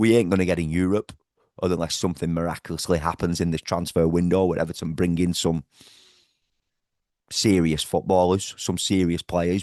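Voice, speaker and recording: In a Liverpool accent, a man speaks at a very deep, low pitch with an animated tone and a moderate pace. The sound is dry and close with no echo against a quiet background. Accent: Scouse. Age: 40s. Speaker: football fan vlogger. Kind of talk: match reaction rant.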